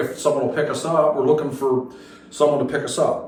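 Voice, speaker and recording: Noticeable background noise and audible room echo surround a man speaking at a fairly high pitch with an American accent. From Philadelphia, Pennsylvania. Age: 60s. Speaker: metal drummer. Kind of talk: radio interview. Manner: casual, halting with fillers.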